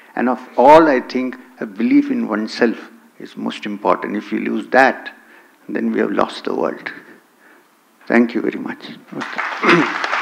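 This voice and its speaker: Amid noticeable background noise, a man speaks at a fairly slow pace with long, frequent pauses and big swings in loudness. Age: 60s. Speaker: spiritual teacher. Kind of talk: conference talk.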